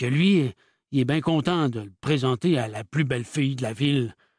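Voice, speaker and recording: Putting on a drawling character voice, a man speaks at a moderate pace in a fairly high pitch, with a dry, close sound and no echo. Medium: read story. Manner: drawling, curt, tight-lipped, swearing.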